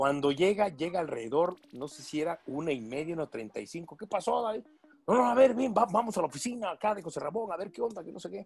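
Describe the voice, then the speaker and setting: A man's high voice at a very fast pace, with very wide pitch swings and big swings in loudness. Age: 50s. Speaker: football commentator. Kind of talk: interview.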